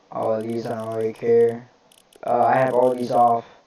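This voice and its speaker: Over noticeable background noise, a man at medium pitch talks with monotone, flat intonation. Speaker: gaming YouTuber. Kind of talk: tutorial. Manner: casual, hesitant with fillers.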